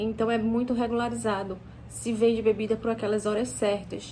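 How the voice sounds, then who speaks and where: A woman speaks at a moderate pace. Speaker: English teacher. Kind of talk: casual teaching talk to camera. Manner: halting, many false starts.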